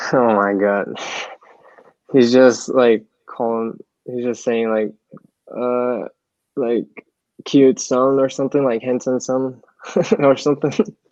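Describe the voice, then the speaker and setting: Speech in a Portuguese accent moves at a very slow pace with fairly even intonation and long, frequent pauses. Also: man, medium pitch for a man. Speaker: college soccer player. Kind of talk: interview.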